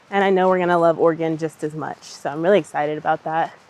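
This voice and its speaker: A woman speaks at a fairly quick pace in a fairly low pitch. Noticeable background noise sits behind her. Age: late 20s. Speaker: yoga teacher and corporate worker. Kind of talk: casual vlog talk to camera while hiking. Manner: casual, chatty.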